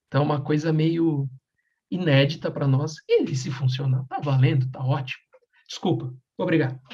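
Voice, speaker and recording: Soft-spoken and somewhat breathy, a man with a fairly high pitch and a dark, mellow tone talks at a moderate pace with fairly even intonation. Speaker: podcast co-host. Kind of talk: casual chat. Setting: home at night. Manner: speaking softly.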